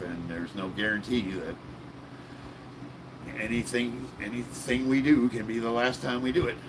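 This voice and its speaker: A raspy, breathy, strained voice with ordinary pitch variation and long, frequent pauses comes through over noticeable background noise. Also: man, medium pitch for a man, moderate pace. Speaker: live streamer reading chat. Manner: casual, upbeat, chatty.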